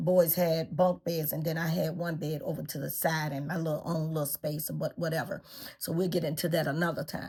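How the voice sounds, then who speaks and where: This woman talks at a fairly quick pace in a flat monotone, her pitch very deep and low. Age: 60s. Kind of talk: personal storytelling to camera. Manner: hesitant, conversational.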